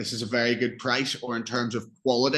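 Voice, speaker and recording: A man with an Irish accent speaks at a medium pitch in a bright, sharp tone. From Northern Ireland. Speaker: English tutor. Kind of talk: online English lesson.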